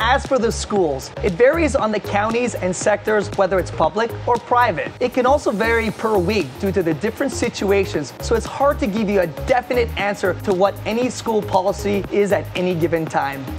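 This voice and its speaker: Clear music plays in the background. A man talks at a fairly quick pace with hardly any pauses. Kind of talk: video host talking to camera. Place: open country. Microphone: lapel.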